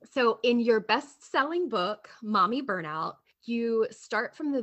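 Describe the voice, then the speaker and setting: At a fairly slow pace, a woman talks in an ordinary speaking voice. Her intonation is lively. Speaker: podcast co-host. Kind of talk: scripted narration.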